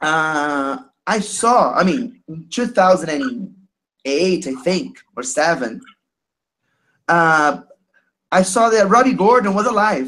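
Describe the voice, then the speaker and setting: With a Portuguese accent, the speaker talks at a very slow pace with long, frequent pauses. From Brazil. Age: 30s. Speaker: caller sharing experience. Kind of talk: testimony. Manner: halting.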